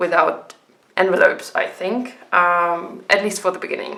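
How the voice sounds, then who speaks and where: A woman of medium pitch speaks with a German accent. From Germany. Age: 20s. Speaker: budgeting vlogger. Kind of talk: casual tutorial vlog. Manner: hesitant, many ums.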